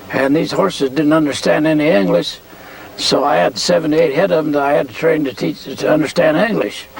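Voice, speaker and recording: Over noticeable background noise, a man talks at a fairly quick pace. His fairly high voice has lively intonation. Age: 80s+. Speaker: horse trainer. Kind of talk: interview testimony. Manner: halting, many fillers.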